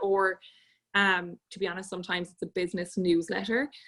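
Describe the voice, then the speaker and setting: A woman with an Irish accent at a fairly quick pace. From Ireland, Galway. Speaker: podcast guest coordinator. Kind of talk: casual chat.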